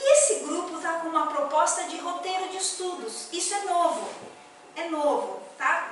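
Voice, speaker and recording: Her pitch is extremely high, and this woman talks at a moderate pace. Audible room echo is present in the recording. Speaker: spiritist lecturer. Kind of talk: lecture. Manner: conversational, hesitant.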